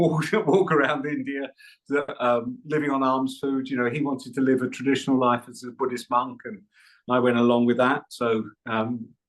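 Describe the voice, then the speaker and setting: A man's medium-pitched voice with an English accent, at a moderate pace with fairly even intonation. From England. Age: 70s. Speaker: Buddhist meditation teacher. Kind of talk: podcast interview.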